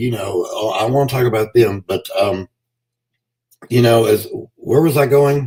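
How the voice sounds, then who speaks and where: This man's voice is somewhat breathy, with a dark, mellow tone. He leaves long, frequent pauses. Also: medium pitch for a man, ordinary pitch variation. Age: 60s. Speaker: pro wrestler. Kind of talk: podcast interview. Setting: live stream.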